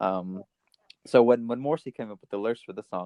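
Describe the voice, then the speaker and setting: A man with a Canadian accent, talking at a very fast pace. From Canada. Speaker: music podcast co-host. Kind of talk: casual chat. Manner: halting, many fillers and restarts.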